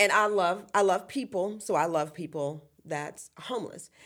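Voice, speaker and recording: At a fairly slow pace, a woman with a Virginia accent speaks with ordinary pitch variation. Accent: Virginia Southern. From US South, central Virginia (Appomattox County). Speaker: ministry founder. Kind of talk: interview testimony. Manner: halting, many fillers.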